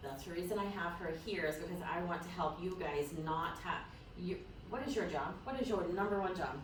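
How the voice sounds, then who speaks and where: A woman with a fairly low voice speaks at a fairly quick pace in an animated tone with ordinary pitch variation, with audible room echo and noticeable background noise. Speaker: real estate team leader running a training session. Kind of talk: workshop talk to colleagues. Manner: occasional stutter.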